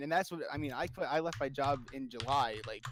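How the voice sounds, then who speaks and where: A man speaks loudly in an animated tone with ordinary pitch variation. The recording is very clean with a silent background. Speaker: streamer. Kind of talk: casual chat.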